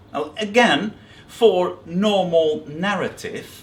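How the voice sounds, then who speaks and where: In a room with audible echo, a man with a high voice speaks at a very slow pace. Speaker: biblical scholar. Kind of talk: lecture. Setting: seminary workshop. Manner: hesitant, with fillers and repetitions.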